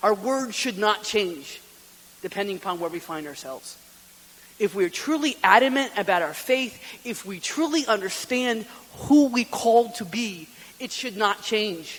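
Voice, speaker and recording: There is noticeable background noise as a high-pitched man talks at a moderate pace with lively intonation and big swings in loudness. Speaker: deacon giving a retreat talk. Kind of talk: retreat talk.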